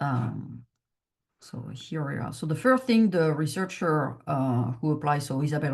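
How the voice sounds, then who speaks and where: Speaking fairly slowly with a French accent, a woman has a very deep, low pitch. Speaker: chief scientific officer of a patient foundation. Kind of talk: research presentation Q&A. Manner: halting, many fillers.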